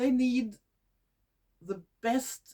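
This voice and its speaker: With a Norwegian accent, a woman talks at a very slow pace and a high pitch. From Norway. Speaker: nature video creator. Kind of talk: casual talk to camera. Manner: halting, with false starts.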